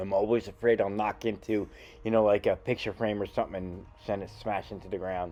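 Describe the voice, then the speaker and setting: The tone is dark and mellow, and the pace fairly quick. The intonation stays monotone and flat. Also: man, fairly low pitch for a man. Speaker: magician vlogger. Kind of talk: casual vlog narration. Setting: indoors in an antique shop.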